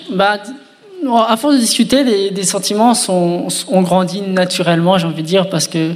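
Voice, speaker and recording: A man with a high-pitched voice speaks at a moderate pace over noticeable background noise. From France, Reims. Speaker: engaged man sharing his story. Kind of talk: testimony.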